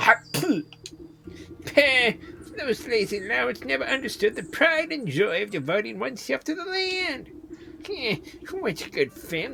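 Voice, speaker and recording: A put-on character voice at a fairly high pitch and a moderate pace, with long, frequent pauses over clear background noise. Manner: gruff, scornful.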